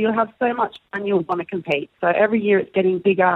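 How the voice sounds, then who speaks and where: A woman is speaking. She has an Australian accent. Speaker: air guitar competitor. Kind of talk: casual chat. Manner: animated.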